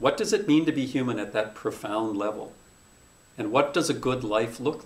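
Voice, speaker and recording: Intonation is lively, loudness swings widely, and audible room echo surrounds the voice. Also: man, medium pitch for a man, moderate pace. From North Dakota. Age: 50s. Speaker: journalism professor. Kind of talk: interview conversation.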